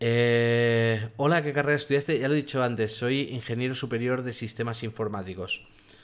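At a moderate pace with hardly any pauses, a man speaks at medium pitch with fairly even intonation. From Catalonia, Spain. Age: 40s. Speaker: tech youtuber. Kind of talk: live stream Q&A. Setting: home office by a street window. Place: home room.

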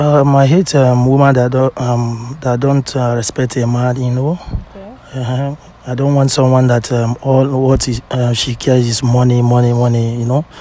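A man with a Nigerian accent and a medium pitch speaks at a moderate pace in a monotone, flat intonation, with a dry sound with no echo and light background noise. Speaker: blind date participant. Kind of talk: casual conversation. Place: street.

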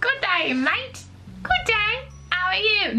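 A woman uses a put-on character voice at an extremely high pitch, speaking fairly slowly. Clear background noise runs behind her. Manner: attempted, comes out British.

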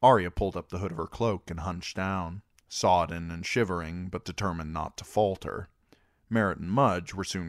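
On a very clean recording with a silent background, a man with a very deep, low pitch speaks with ordinary pitch variation. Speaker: amateur audiobook reader. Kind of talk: audiobook reading.

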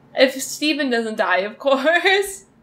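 A woman speaks in a high pitch. Her pace is fairly slow. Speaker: reaction video creator. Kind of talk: casual vlog chat. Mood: emotional, wistful, sad. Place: home room.

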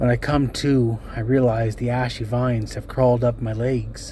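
Noticeable background noise sits behind a man who talks at a fairly slow pace. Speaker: amateur story reader. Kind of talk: reading aloud.

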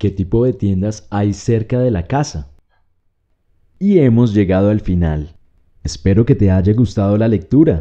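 A man's fairly low, dark, mellow voice with lively intonation, a fairly slow pace, and long, frequent pauses against a quiet background. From Colombia, Bogotá. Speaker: Spanish teacher. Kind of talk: reading aloud; tutorial. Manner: clear, slow.

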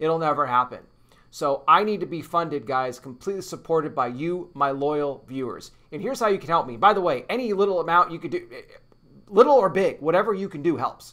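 Speaking at a fairly quick pace, a man's voice swings widely in loudness. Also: lively intonation, quiet background. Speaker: news commentary channel host. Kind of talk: casual vlog chat. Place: home room. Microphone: webcam.

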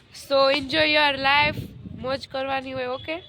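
A woman speaks over noticeable background noise. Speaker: vlogger. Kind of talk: casual vlog.

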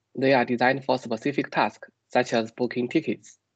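A man at a fairly quick pace with fairly even intonation, with dry sound, no echo and a quiet background. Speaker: PhD student researcher. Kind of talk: technical presentation. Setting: video call. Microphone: video call.

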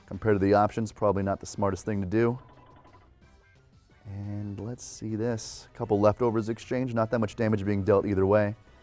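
Music plays in the background as a man talks at a fairly quick pace. His pitch is fairly low and his intonation fairly even. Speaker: Pokemon event commentator auditionee. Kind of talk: esports match commentary.

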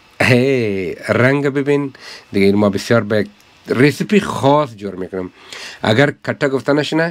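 A man at a moderate pace, his pitch varying in an ordinary way. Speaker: restaurant owner vlogger. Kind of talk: casual vlog chat. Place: cafe. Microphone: phone near.

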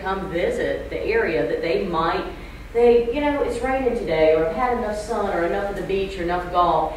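A woman's lively intonation at a moderate pace, with light background noise and audible room echo. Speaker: realtor association executive. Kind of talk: panel discussion. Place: hall.

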